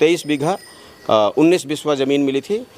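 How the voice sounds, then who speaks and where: Pitch moves in an ordinary way throughout. The recording sounds dry and close, without any echo. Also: man. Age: 60s. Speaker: village elder. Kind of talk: interview. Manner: hesitant.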